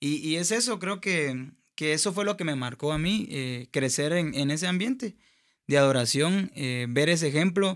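A man with a Guatemalan accent, fairly high in pitch, at a moderate pace with ordinary pitch variation, against a quiet background. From Guatemala (Escuintla). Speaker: singer and music producer; podcast guest. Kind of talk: testimony. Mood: earnest, reflective. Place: studio. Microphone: studio mic.

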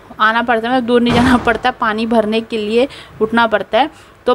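A woman speaks with monotone, flat intonation. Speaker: home vlogger. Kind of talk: casual vlog chat. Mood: cheerful, chatty. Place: home room. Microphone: phone near.

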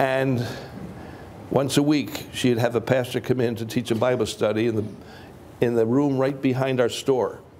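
A man speaks at a moderate pace and a medium pitch, his intonation monotone and flat. Long, frequent pauses break up his speech over light background noise. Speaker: preacher. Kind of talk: sermon. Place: hall.

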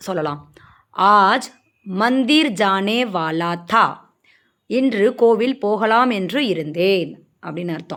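A plain, everyday voice with lively intonation, on a very clean recording against a silent background. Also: woman, medium pitch for a woman. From Maharashtra, India (Tamil-speaking family). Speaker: Hindi language teacher. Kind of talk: tutorial.

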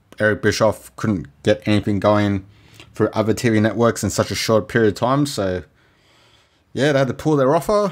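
On a very clean recording with a silent background, a man with an Australian accent speaks at a moderate pace in very even loudness, his fairly low pitch showing ordinary variation. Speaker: podcast host. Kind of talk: solo monologue podcast.

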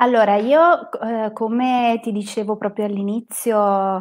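The intonation is fairly even. The background is quiet. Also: woman. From northern Italy, province of Bergamo; northern Italy. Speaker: psychotherapist and hiking guide; hiking guide. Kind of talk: live stream conversation. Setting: live online stream. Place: home room. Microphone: earbuds.

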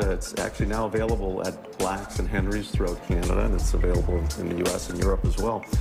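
Over loud background music, a man talks at a very fast pace. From Canada. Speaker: inventor. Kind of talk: TV interview answer. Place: studio. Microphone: lapel.

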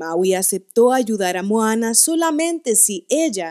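This woman talks at a fairly slow pace with lively intonation. Her tone is animated and dramatic over a quiet background. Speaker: voice acting student. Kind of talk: dramatic storybook narration, read aloud in a theatrical storyteller style. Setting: home recording, single take. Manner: animated, expressive, with varied pitch and dramatic pauses. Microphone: studio mic.

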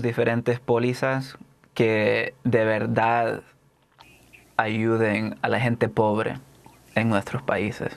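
The voice belongs to a man. He talks very slowly. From El Salvador. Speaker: poet and author; poet. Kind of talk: interview; interview answer. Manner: halting. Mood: earnest, reflective. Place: studio. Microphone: lapel.

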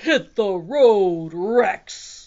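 A woman puts on a character voice with vocal fry, a dark, mellow tone and a medium pitch. She goes at a very slow pace with lively intonation.

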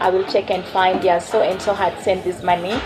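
Clear background music under a woman's voice. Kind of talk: interview answer. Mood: relaxed, friendly. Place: shop.

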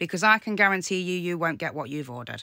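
A woman's fairly low voice has a bright, sharp tone, recorded with a dry sound with no echo against a quiet background. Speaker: content creator replying to a troll. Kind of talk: casual vlog chat. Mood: annoyed, defiant. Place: home room. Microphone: phone near.

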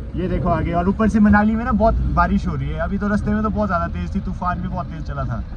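He speaks at a moderate pace. There's noticeable noise in the background, and the sound is dry with no echo. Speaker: travel vlogger. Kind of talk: casual vlog chat. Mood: cheerful, joking. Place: car. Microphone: phone near.

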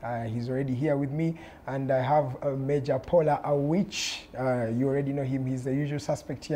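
Somewhat breathy, a man with a fairly high pitch and a dark, mellow tone talks at a fairly quick pace with fairly even intonation. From Uganda. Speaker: TV talk show host. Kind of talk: political panel debate moderation. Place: studio. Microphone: lapel.

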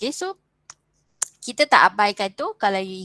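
Recorded with a dry, close sound and no echo, a woman talks at a moderate pace. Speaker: university lecturer. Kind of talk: lecture. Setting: video call. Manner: code-switching Malay and English.

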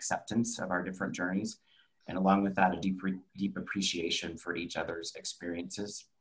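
This is an unremarkable speaking voice at a fairly quick pace. Its pitch variation is ordinary. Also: man. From Texas, Dallas. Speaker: travel industry professional, panelist. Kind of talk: presentation.

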